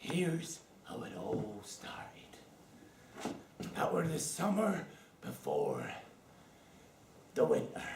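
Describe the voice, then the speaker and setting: A man whispers in a put-on character voice with a West Country accent, going fairly slowly with long, frequent pauses. Clear background noise and a slight echo are audible. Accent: West Country pirate. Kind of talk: comic overacting. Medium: stage play. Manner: rambling, boastful, cackling.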